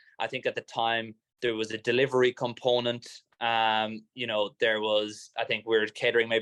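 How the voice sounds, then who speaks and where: With an Irish accent, a man talks at a moderate pace in a monotone, flat intonation. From Ireland. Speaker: startup founder. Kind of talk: talk to a live or online event audience. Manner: casual, hesitant with fillers and repeats.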